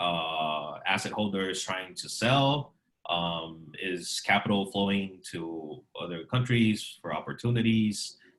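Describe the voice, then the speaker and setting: A man talks at a very slow pace with hardly any pauses. His pitch is fairly low, with ordinary variation. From Brazil. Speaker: panel moderator. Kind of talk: online panel discussion.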